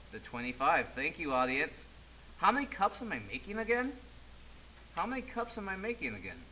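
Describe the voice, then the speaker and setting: A raised, projected voice at a fairly quick pace, with very wide pitch swings, long, frequent pauses and noticeable background noise. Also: man, high pitch for a man. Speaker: teacher. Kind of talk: tutorial. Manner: animated.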